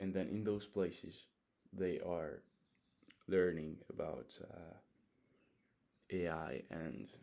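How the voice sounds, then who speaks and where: With a Hungarian accent, a man speaks in a very deep, low, dark and mellow voice, keeping a fairly even intonation and leaving long, frequent pauses. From Hungary. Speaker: vlogger. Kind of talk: casual monologue. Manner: halting.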